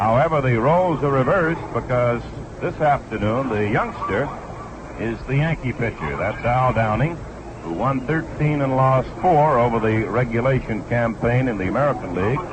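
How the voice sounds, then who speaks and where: Through noticeable background noise, a man's pitch moves up and down in a normal way. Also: medium pitch for a man, moderate pace. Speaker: baseball radio play-by-play announcer. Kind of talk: sports radio broadcast commentary.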